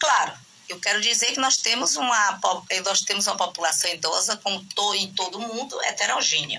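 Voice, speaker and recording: A woman at a medium pitch speaks over noticeable background noise. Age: 60s. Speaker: gerontologist and professor. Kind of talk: podcast interview. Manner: halting, many fillers and restarts.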